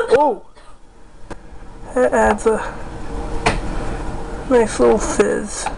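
Very slowly and with long, frequent pauses, a man speaks over noticeable background noise. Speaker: home experiment video host. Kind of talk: casual talk to camera. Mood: wry, disappointed. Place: kitchen. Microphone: phone near.

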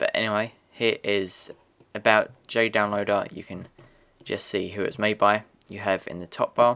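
Pitched fairly low, a man speaks in a flat monotone. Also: very clean recording, silent background. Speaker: software tutorial presenter. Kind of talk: tutorial. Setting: screen recording voiceover. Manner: casual, fillers.

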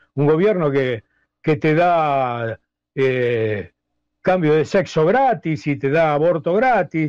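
In a Rioplatense accent, a man speaks against a quiet background, the sound dry and close with no echo. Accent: Argentine Rioplatense Spanish. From Argentina, La Plata. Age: 60s. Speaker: blues musician. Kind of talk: interview. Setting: audio call.

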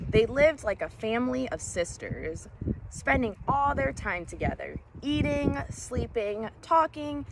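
A woman with an American accent at a fairly slow pace, dry sound with no echo, and noticeable background noise. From US Midwest, Illinois. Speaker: elementary school teacher reading a children's book aloud. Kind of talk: bedtime-style story reading aloud to children. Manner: gentle, warm, unhurried storyteller pacing; encouraging, upbeat and teacherly when addressing kids. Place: waterside. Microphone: phone near.

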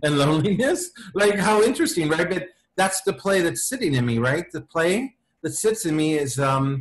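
With an American accent, a man uses an unremarkable speaking voice, fairly high in pitch, with lively intonation. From Los Angeles. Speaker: playwright. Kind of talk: interview answer. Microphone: video call.

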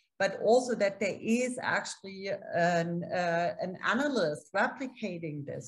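Against a quiet background, a woman speaks with a somewhat breathy voice and lively intonation. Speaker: political science professor and journal editor; political science professor. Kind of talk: academic panel discussion. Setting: video call. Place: home room. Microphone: webcam.

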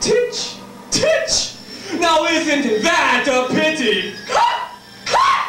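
A man in a put-on character voice speaks very slowly at an extremely high pitch, swinging very widely up and down, his tone bright and sharp against strong room echo.

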